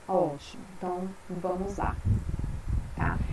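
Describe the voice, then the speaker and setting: A woman at a very slow pace against noticeable background noise. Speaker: university lecturer. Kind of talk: online lecture. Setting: live web class.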